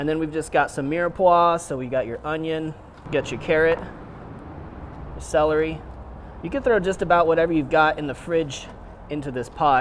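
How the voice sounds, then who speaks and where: Here a man speaks at a moderate pace with fairly even intonation. Light background noise is present. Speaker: chef host. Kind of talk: tutorial.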